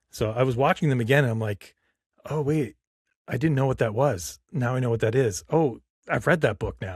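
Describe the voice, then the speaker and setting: A man speaks at medium pitch and a moderate pace, somewhat breathy, with ordinary pitch variation on a very clean recording over a silent background. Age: 50s. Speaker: podcast host. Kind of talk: casual chat.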